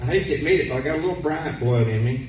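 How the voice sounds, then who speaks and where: Amid noticeable background noise and audible room echo, a man with a Tennessee accent speaks in a medium pitch. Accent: Southern US (Tennessee). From Tennessee, Lawrenceburg. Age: 50s. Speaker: political candidate. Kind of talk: campaign speech. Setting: community center meeting with audience.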